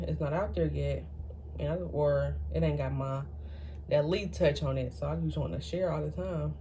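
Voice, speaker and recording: Against noticeable background noise, a woman is heard with audible room echo. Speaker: YouTuber, college student. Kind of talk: personal vlog, life update. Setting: at home, talking to camera. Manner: fast.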